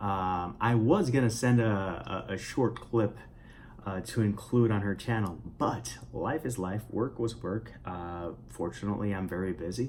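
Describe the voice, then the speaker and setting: Somewhat breathy, a man speaks at a fairly slow pace with a fairly low pitch and lively intonation. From Puerto Rico. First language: Spanish. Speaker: writer and vlogger. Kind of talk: casual vlog monologue. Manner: halting, many fillers and repetitions.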